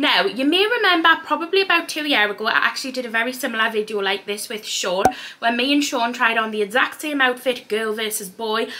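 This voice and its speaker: A woman's fairly high voice in a Geordie accent, very fast pace, hardly any pauses, light background noise. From Newcastle, North East England. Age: 20s. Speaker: fashion vlogger. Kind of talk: casual talk to camera. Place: home room. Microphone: camera far.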